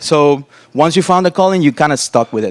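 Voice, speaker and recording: A Spanish-accented man's voice. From Cuba and Costa Rica. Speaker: interaction designer. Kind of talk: conference talk.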